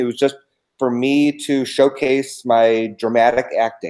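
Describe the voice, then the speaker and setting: An unremarkable speaking voice belongs to a man with an American accent, medium in pitch, with ordinary pitch variation. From Los Angeles, California. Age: 50s. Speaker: children's book author. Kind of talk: live-stream interview chat.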